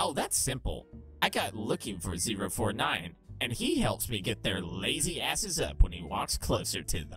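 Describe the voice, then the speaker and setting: A put-on character voice in a low, raspy register at a moderate pace, with clear music in the background. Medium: solo performance. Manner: sassy, flamboyant, sarcastic, brash.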